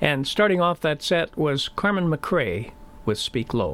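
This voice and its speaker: A man speaks at a fairly slow pace with lively intonation and fairly high pitch. He has a plain, everyday voice. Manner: relaxed, mellow and unhurried, easy-listening announcer delivery.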